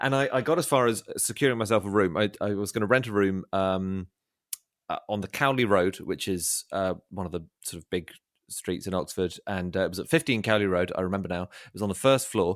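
A man with a southern English accent speaks at a fairly quick pace in a fairly low pitch, with ordinary pitch variation and big swings in loudness. The very clean recording has a silent background and a dry, close sound with no echo. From London, England. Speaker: comedy writer and podcaster. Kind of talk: casual chat. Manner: halting.

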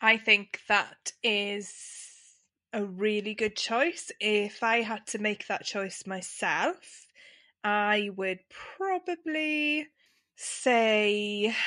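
Here is a woman with an English accent. Her tone is bright and sharp, her pitch medium. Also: quiet background. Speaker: podcast co-host. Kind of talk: casual chat.

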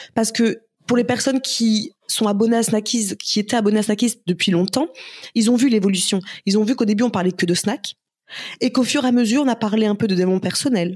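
Somewhat breathy, a woman speaks at a fairly quick pace with a fairly high pitch. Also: ordinary pitch variation, very even loudness. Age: 30s. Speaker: entrepreneur and influencer. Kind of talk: casual interview.

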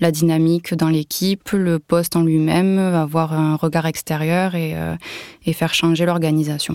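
A woman's fairly low, dark, mellow voice at a moderate pace, monotone and flat, with a dry, close sound, no echo, and a very clean recording with a silent background. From southern France, Toulouse area. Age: 30s. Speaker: food industry engineer and former team manager. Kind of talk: personal testimony interview. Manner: hesitant, with fillers.

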